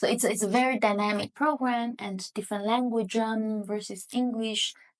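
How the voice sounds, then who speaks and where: This woman's voice is fairly high, moving at a moderate pace with fairly even intonation. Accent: Chinese. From southern China. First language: Hakka. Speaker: economics professor. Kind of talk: podcast interview. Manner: hesitant, many fillers.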